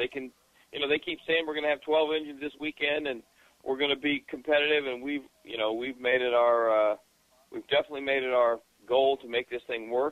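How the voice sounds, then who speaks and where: Here a man has an unremarkable speaking voice with a medium pitch. He talks at a fairly quick pace with fairly even intonation. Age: 60s. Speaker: motorsport journalist and TV commentator. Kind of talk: casual chat.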